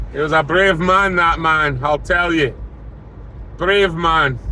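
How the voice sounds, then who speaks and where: A man speaks at a fairly slow pace in a fairly high pitch. Audible room echo and noticeable background noise surround his voice. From born in Scottish lowlands, raised elsewhere from age three. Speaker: classic car restorer and channel host. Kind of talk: casual vlog talk to camera. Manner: relaxed, chatty with filler words.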